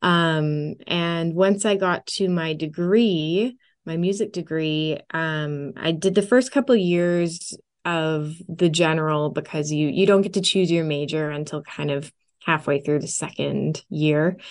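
A woman with a Western Canadian accent speaks at a fairly low pitch and a fairly slow pace, with ordinary pitch variation, over a quiet background. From Canada, Edmonton, Alberta. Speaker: film and music composer and singer. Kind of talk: interview conversation.

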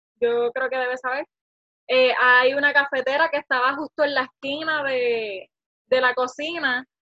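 In a raised, projected voice, a woman speaks fairly slowly at a high pitch with a bright, sharp tone. Her intonation is monotone and flat, and the sound is dry and close with no echo. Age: 20s. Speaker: small business owner, vacation rental host. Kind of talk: interview.

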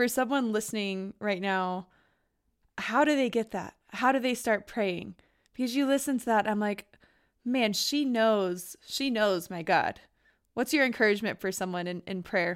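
A normal speaking voice in a very clean recording with a silent background. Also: woman, fairly high pitch for a woman, ordinary pitch variation, moderate pace. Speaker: podcast host. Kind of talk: interview, casual chat.

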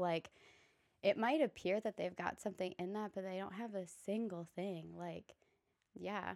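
A woman at medium pitch and moderate pace, ordinary pitch variation, dry and close with no echo. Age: 20s. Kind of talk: casual chat.

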